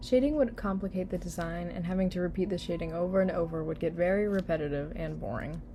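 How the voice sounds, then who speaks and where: At a very fast pace with hardly any pauses, a woman talks in a fairly low, somewhat breathy, dark and mellow voice with ordinary pitch variation. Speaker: digital artist and channel creator. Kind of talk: voiceover narration over speed paint. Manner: low-energy, unenthusiastic.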